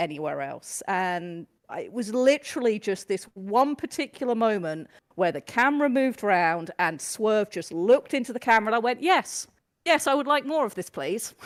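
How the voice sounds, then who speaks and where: In a very clean recording with a silent background, a woman speaks with a British accent at a moderate pace. Her fairly high pitch moves in very wide swings. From UK. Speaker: new wrestling fan. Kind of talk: casual podcast chat.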